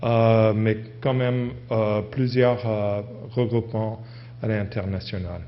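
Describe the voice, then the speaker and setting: A man's medium-pitched, monotone, flat voice at a very slow pace, with audible room echo. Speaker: university professor giving a conference talk. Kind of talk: conference presentation. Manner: halting, many hesitations and restarts.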